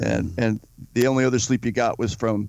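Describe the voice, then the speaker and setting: A man's medium-pitched voice holds a flat, monotone intonation. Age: 50s. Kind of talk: interview.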